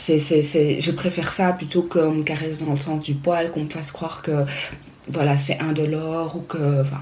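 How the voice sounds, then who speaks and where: A woman's very deep, low voice, monotone and flat at a moderate pace, with noticeable background noise and audible room echo. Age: 30s. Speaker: vlogger. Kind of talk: casual vlog talk. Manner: hesitant, many fillers.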